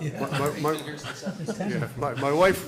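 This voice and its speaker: A man speaks with a fairly high pitch and ordinary pitch variation. Noticeable background noise sits behind him. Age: 70s. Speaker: project consultant presenting to board. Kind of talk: public meeting discussion.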